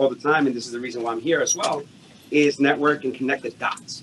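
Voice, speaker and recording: Light background noise behind a male speaker. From New York. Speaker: salesperson. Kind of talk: audience question in Q&A. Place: hall.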